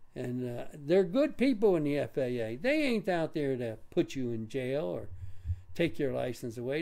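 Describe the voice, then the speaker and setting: The voice has a dark, mellow tone and very wide pitch swings, delivered at a moderate pace. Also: man. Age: 80s+. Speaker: drone hobbyist vlogger. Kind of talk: monologue rant. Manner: halting, repetitive stammers.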